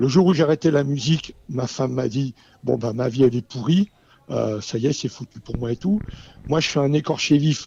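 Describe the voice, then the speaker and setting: Heard dry and close with no echo, a man with a fairly high pitch and a dark, mellow, somewhat breathy tone talks at a moderate pace with ordinary pitch variation. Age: 70s. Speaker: racehorse owner and breeder. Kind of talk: radio panel discussion. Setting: radio studio in a Paris venue. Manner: animated, impassioned; halting with repetitions.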